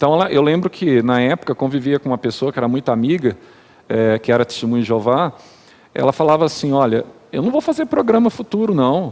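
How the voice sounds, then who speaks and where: Here a man has an unremarkable speaking voice, fairly high in pitch, with lively intonation at a fairly quick pace. The sound is dry and close, with no echo. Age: 40s. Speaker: church elder. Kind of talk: casual chat.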